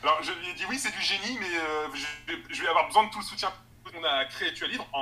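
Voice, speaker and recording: A man's lively intonation and very fast pace come through noticeable background noise. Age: 20s. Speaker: assistant editor and online book fair organizer. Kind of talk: interview. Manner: halting.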